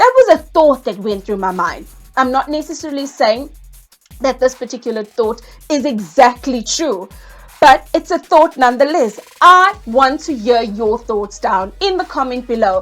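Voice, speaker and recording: With music in the background, a woman speaks in a high pitch with an animated tone and lively intonation. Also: moderate pace. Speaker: property investing educator, YouTuber. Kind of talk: vlog monologue.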